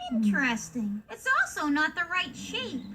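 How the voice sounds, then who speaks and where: A female-sounding cartoonish character voice speaks at a moderate pace in a high pitch. Clear background noise can be heard. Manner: observant, matter-of-fact.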